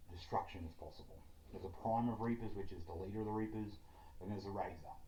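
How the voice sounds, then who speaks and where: Very fast speech in an Australian accent. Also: man. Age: 30s. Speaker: writer, game developer. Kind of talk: reading out a self-written political plan.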